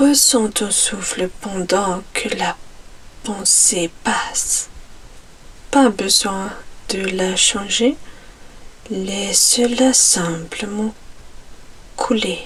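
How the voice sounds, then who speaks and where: Very slow, soft-spoken speech in a calm tone with a non-native accent, long, frequent pauses, and noticeable background noise. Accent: learner's accent speaking French. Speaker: ASMR creator. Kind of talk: ASMR relaxation guide, soft-spoken stress relief. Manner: soft-spoken, calm, slow.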